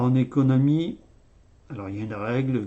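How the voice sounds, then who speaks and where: This man's pitch is medium. He delivers his words at a very slow pace. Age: 60s. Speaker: YouTuber commenting on economics. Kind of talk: casual video monologue. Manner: halting, many hesitations.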